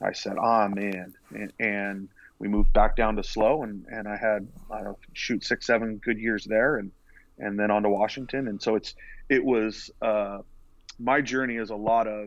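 With an American accent, a man in a normal speaking voice talks at a moderate pace, his fairly low pitch held in fairly even intonation against a quiet background. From California, Central Coast. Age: 40s. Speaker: college baseball pitching coach. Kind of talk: casual interview. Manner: repetitive filler-heavy.

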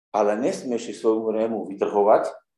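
Against audible room echo, a man speaks at a moderate pace. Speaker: preacher. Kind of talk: sermon. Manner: loud.

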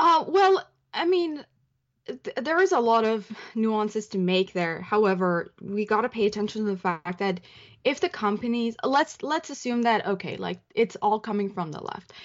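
A woman with a Persian accent, fairly high pitch, lively intonation and a moderate pace. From Iran. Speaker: columnist and journalist. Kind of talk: casual interview chat.

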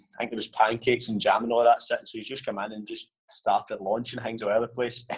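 A man with a Scottish accent talks very fast at a medium pitch. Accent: Scottish (Ayrshire). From Scotland, Ayrshire (Ayr). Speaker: professional footballer. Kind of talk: casual interview. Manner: hesitant, many fillers.

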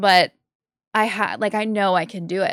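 A woman speaks at a medium pitch in a bright, sharp tone, on a very clean recording with a silent background. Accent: American. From Massachusetts. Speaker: disc golf commentator and podcaster. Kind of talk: casual chat.

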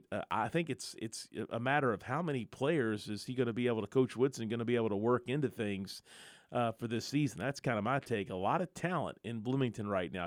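A man's plain, everyday voice, medium in pitch, at a fairly quick pace. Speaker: sports radio host. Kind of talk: live sports talk radio show. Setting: radio studio, live broadcast.

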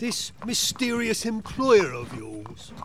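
In a put-on character voice, a man speaks with a high pitch at a slow pace. His pitch swings widely.

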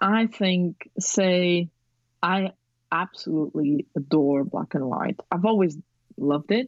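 She speaks at a very slow pace. The woman has a non-native accent. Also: fairly low pitch for a woman, ordinary pitch variation. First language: not English. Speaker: photographer and aspiring director. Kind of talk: casual interview. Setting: remote call.

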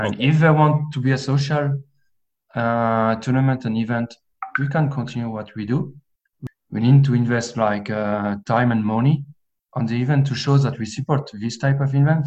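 A man speaks in an ordinary speaking voice. His intonation is fairly even. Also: medium pitch for a man, moderate pace. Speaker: amateur Gaelic football player and IT officer.

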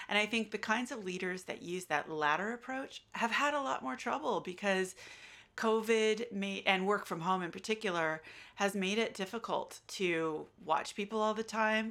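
With an American accent, a woman speaks at a medium pitch and moderate pace, her bright, sharp tone showing ordinary pitch variation. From United States. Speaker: associate professor. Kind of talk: academic interview.

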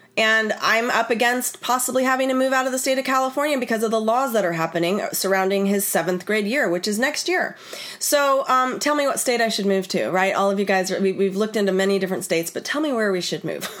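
A woman speaks at a very fast pace, with a fairly high pitch and hardly any pauses. Her tone is animated and her intonation lively, over noticeable background noise. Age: 40s. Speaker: wellness educator and podcast host. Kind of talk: live online class.

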